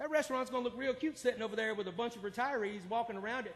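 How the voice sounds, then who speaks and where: Speaking very fast with an American accent, a man uses an extremely high pitch with ordinary pitch variation. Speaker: public commenter, 911 dispatcher. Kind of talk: public comment at city council. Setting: city council meeting. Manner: loud.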